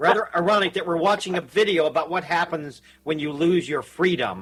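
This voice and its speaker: In a Texan accent, a man talks at a moderate pace with a fairly high pitch and ordinary pitch variation. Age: 60s. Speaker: radio host. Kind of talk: casual chat.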